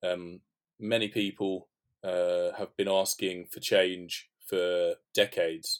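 On a very clean recording with a silent background, a man with a London accent talks in a fairly low pitch with fairly even intonation. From North London. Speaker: sports media consultant. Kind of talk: podcast interview.

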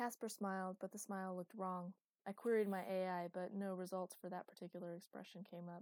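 An unforced reading voice comes through with only quiet behind it.

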